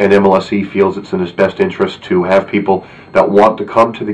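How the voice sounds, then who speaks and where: A man's fairly low, monotone voice at a fairly quick pace, with flat intonation and noticeable background noise. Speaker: football fan video blogger. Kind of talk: video blog commentary. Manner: hesitant, many filler words.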